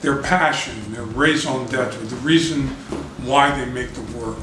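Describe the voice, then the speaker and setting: Noticeable background noise and audible room echo surround speech that moves at a moderate pace. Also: man. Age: 60s. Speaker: artist. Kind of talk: interview. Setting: his apartment.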